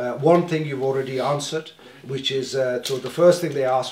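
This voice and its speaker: With audible room echo and light background noise, a man talks in fairly even intonation. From northern England (Leeds); northern England. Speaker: community organization officer chairing meeting; meeting moderator. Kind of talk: community meeting chairing. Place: meeting room. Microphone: camera far.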